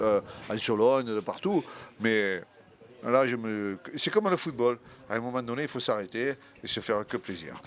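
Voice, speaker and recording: Medium pitch from a man at a moderate pace, with ordinary pitch variation and long, frequent pauses. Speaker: retired football coach. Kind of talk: casual chat. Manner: halting.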